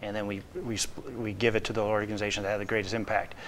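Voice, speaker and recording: A man speaks with an American accent. Light background noise is audible. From Lake County, Northwest Indiana; Indiana. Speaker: business development director; talk show guest. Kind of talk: interview. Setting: studio. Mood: earnest, warm. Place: studio. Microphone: lapel.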